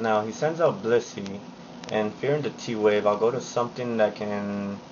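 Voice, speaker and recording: The speaker is quiet and talks at a moderate pace. Noticeable background noise runs underneath. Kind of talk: game commentary narration. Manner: quiet, low volume.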